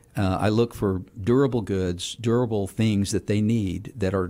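Fairly low-pitched man with fairly even intonation, very clean recording, silent background. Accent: Texan. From Houston, Texas. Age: 60s. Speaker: city council member. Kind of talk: radio interview.

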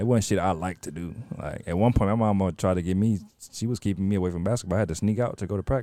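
A man with an American accent talks very fast in a fairly low, dark and mellow voice, in a very clean recording with a silent background. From Louisiana, Baton Rouge. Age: 20s. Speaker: podcast co-host, entrepreneur. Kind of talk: casual chat. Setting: outdoors. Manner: animated.

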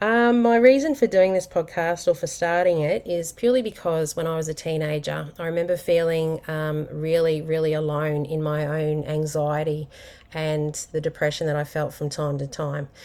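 A woman with an Australian accent speaks in a very deep, low pitch and a dark, mellow tone, with ordinary pitch variation. Her moderate pace has hardly any pauses, in a very clean recording with a silent background. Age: 40s. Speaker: podcast host. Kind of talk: personal monologue. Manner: casual, unscripted with fillers.

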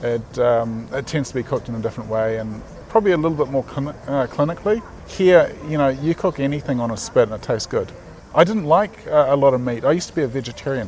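Against noticeable background noise, a man with a New Zealand accent talks at a very fast pace with a fairly high pitch and lively intonation. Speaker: graphic designer and artist. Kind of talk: casual interview. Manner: halting.

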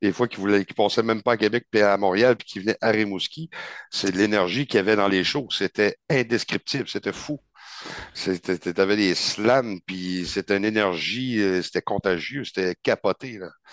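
In a dry, close sound with no echo, a man with a normal speaking voice and fairly low pitch talks at a moderate pace with fairly even intonation. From Gaspésie, Quebec. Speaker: metal band vocalist. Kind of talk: casual chat.

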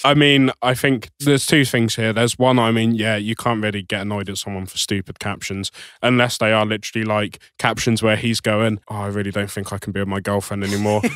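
A man talks at a fairly quick pace with fairly even intonation, in an ordinary speaking voice. The recording is very clean, with a silent background. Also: fairly low pitch for a man. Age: 20s. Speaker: podcast co-host. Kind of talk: casual chat.

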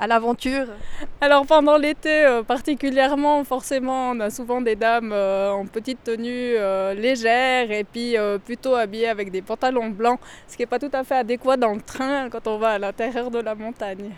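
Fairly even intonation at a moderate pace. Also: woman, high pitch for a woman. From Valais, Switzerland. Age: 40s. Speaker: mine tour guide and train driver. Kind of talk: guided tour interview. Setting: underground salt mine and mine train.

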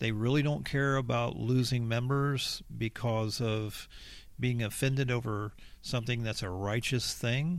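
A man talks at a moderate pace. He has a plain, everyday voice. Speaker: church member, guest. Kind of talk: casual chat. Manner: earnest, preacherly.

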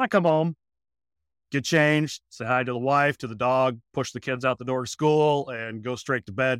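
A medium-pitched man with a Midwestern American accent at a fairly quick pace, with ordinary pitch variation and a dry, close sound with no echo. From US Midwest. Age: 30s. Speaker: podcaster. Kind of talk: casual podcast conversation and narrated segment. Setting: remote call.

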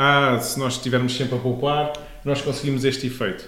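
The voice carries a European Portuguese accent. Audible room echo surrounds it. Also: man. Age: 30s. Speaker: podcast host, finance explainer. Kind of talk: casual explanatory chat.

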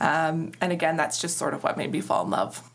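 A woman with an Ontario accent at a fairly quick pace, noticeable background noise behind her. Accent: Canadian (Ontario). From Ontario, Canada (Walkerton, Grey-Bruce). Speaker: charity executive director. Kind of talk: interview.

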